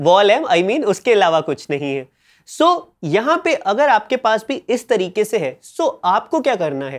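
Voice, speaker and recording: A man's high-pitched voice moves in very wide pitch swings at a fairly slow pace. The background is quiet. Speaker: music producer and YouTuber; music production YouTuber. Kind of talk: tutorial. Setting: home studio. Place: studio. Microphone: lapel.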